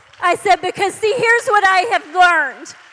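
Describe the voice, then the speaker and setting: Raised and projected, a woman's extremely high voice comes at a moderate pace with an American accent over noticeable background noise. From Texas. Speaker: preacher and author. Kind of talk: sermon. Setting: church service with audience. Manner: animated.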